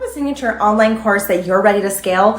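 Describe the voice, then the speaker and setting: Faint music plays behind a woman speaking with ordinary pitch variation amid audible room echo. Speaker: ad agency owner and online business coach; online business coach. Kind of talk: tutorial. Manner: fast; casual. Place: home room.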